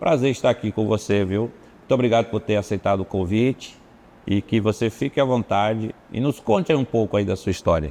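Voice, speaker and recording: A dark, mellow tone carries this moderately paced speech. The pitch varies in an ordinary way. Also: man. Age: 50s. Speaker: pastor, podcast host. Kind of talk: interview.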